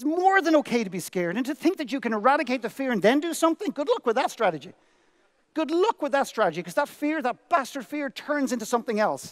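An extremely high-pitched man with an Irish accent speaks at a very fast pace, his pitch swinging very widely over a quiet background. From Ireland. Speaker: motivational speaker. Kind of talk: keynote speech. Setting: stage with audience. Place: stage. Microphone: headset.

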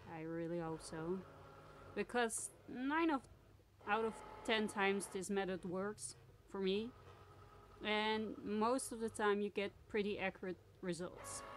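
At a fairly slow pace with long, frequent pauses, a woman speaks with a Dutch accent, lively intonation and a medium pitch. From Netherlands. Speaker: crafter and sticker maker. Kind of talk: tutorial. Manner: halting, many fillers.

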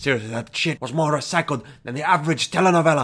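With a bright, sharp tone, a man talks in an animated way with lively intonation. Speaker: gaming commentator. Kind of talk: angry comedic rant, profane review. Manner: loud, ranting, animated; does mocking impersonation voices.

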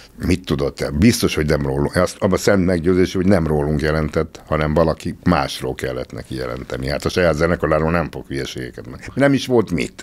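Very fast speech with vocal fry. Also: man. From Hungary. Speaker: musician; podcast guest. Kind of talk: casual chat. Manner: halting. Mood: reflective, a bit wry. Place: studio. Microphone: studio mic.

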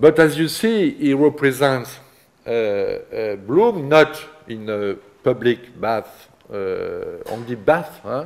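Delivered in a French accent, the speech is very slow. Pitch swings are very wide, and loudness swings are big. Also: man, fairly high pitch for a man. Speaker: art history professor. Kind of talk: lecture. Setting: seminar room with students. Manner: halting, hesitant with fillers. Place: classroom.

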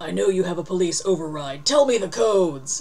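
A growling, put-on character voice at a middle pitch moves at a fairly quick pace over light background noise. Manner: snarling, threatening.

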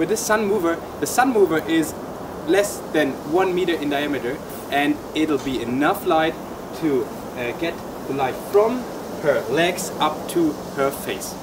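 A man talks at a fairly slow pace, with long, frequent pauses. Noticeable background noise runs underneath. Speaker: presenter. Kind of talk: tutorial. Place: open country. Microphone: lapel.

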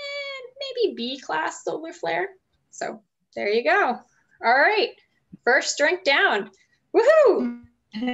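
A woman talks at a very slow pace. She leaves long, frequent pauses. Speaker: host making a cocktail. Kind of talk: tutorial. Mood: cheerful, playful. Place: kitchen. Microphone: video call.

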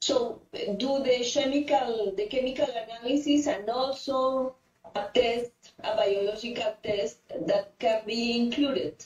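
A woman with a Spanish accent speaks very slowly at a fairly high pitch with ordinary pitch variation, and the room echo is audible. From Colombia. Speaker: cancer phytomedicine researcher. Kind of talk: audience Q&A question. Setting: online call. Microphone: video call.

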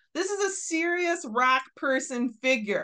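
A woman's raised, projected, high voice, bright and sharp in tone, with lively intonation and an American accent against a quiet background. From US Midwest. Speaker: science educator. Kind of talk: video explainer. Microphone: webcam.

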